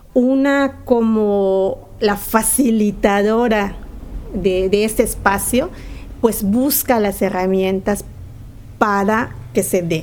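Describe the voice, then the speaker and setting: Amid audible room echo, the speech is very slow with ordinary pitch variation. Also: woman, medium pitch for a woman. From Yucatán, Mexico. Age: 40s. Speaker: community theatre director and actress. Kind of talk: interview. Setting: community theatre venue.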